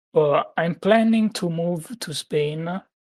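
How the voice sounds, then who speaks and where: A man speaks with an Italian accent. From Italy. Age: 20s. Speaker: gaming community guest. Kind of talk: casual chat. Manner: halting.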